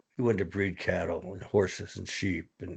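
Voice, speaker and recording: A man with an American accent speaks at a fairly low pitch and a moderate pace. His voice is somewhat breathy over a quiet background. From northeastern Pennsylvania, Luzerne County. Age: 70s. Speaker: retired dairy cattle breeder. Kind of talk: interview.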